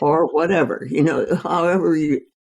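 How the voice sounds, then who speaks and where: A woman speaking at a fairly slow pace. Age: 80s+. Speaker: physician. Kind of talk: interview answer.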